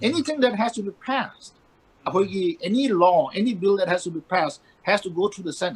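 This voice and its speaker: Lively in intonation, a man talks at a fairly quick pace with a high pitch. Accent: Manipur. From Manipur, India. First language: Manipuri. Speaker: banker and columnist. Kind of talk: interview.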